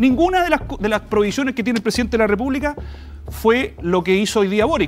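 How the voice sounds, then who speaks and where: Lively intonation carries the speech while faint music plays in the background. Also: man. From Chile. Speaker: lawyer and panelist; lawyer, panelist. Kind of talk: panel debate. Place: studio.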